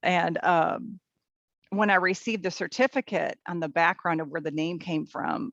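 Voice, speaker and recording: Someone with an American accent speaks against a quiet background, the sound dry and close with no echo. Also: woman. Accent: Minnesota accent, comes out on some words. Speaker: teacher and volunteer puppy raiser. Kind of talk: interview. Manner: hesitant, many fillers.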